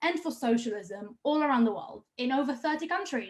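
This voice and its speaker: Speaking in an Israeli accent, a woman talks at a fairly quick pace with a high pitch. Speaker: activist rally host. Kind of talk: event introduction. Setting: online livestream.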